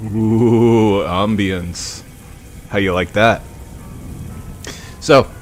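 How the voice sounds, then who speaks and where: With music in the background, a man speaks at a very slow pace with long, frequent pauses, a relaxed tone, fairly even intonation and a fairly low pitch. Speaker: aspiring voice-over narrator. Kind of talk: casual livestream talk. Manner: relaxed, conversational.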